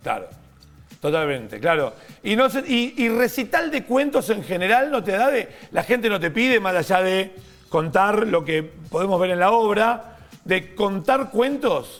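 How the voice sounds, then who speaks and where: Over noticeable background noise, a man with a high pitch speaks at a fairly slow pace with lively intonation. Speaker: TV morning show host. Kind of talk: TV interview, hosting a guest.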